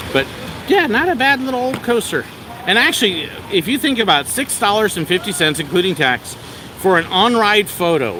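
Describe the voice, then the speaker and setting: A man speaks in a high, raised, projected voice with an animated tone and very wide pitch swings. Background noise is noticeable. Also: moderate pace. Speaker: theme park vlogger, former park worker. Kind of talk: live stream walking tour. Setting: outdoors at an amusement park.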